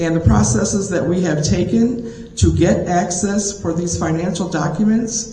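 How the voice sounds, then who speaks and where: The speaker talks at a fairly slow pace over noticeable background noise. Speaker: village trustee. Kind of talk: public meeting statement. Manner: loud. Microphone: cordless mic, poor clarity.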